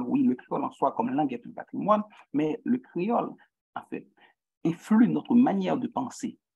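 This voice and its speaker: Here a man speaks with a Haitian accent. His pitch is high and swings very widely. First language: Haitian Creole (speaking French). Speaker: guest lecturer in social psychology. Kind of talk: lecture. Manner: halting, many repetitions and fillers.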